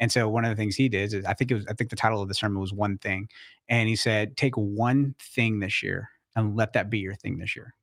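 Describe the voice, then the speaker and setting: On a very clean recording with a silent background and a dry, close sound with no echo, a man speaks at a fairly quick pace in a fairly low pitch with monotone, flat intonation. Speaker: pastor and personal finance advisor. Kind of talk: casual interview chat. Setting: studio with cameras. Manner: fast talker.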